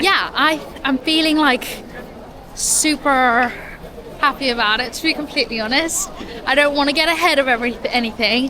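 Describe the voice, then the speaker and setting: Amid crowd noise and audible room echo, a woman projects a raised, high-pitched voice with lively intonation. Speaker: vlogger. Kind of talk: casual chat.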